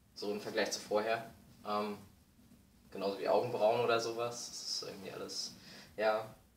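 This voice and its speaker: A man's monotone, flat delivery at a moderate pace, with long, frequent pauses, audible room echo and light background noise. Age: 20s. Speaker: vlogger. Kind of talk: video diary; casual vlog chat. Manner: hesitant, many fillers. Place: home room. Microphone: webcam.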